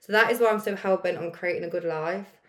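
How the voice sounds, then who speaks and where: Her voice is an unremarkable speaking voice, as this woman talks at medium pitch with fairly even intonation. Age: late 20s, turning 30. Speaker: podcast host, life coach. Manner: casual, chatty.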